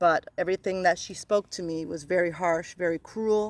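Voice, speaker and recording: A woman talks at a moderate pace with a fairly low pitch and ordinary pitch variation, in a dry, close sound with no echo. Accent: Newfoundland. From Newfoundland, Canada. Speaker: spiritual self-help vlogger. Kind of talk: casual monologue about spiritual laws. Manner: repetitive, occasionally stumbles over words.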